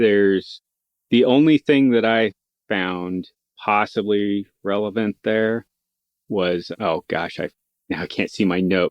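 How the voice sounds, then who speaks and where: A man with an Idaho accent at a very slow pace. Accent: rural Idaho. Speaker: podcast co-host. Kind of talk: casual book discussion.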